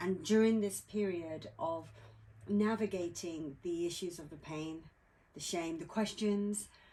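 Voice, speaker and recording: A woman with a British accent, fairly low in pitch, at a fairly slow pace with fairly even intonation. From England. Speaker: author. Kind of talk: interview. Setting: outdoors by a campfire at a lake.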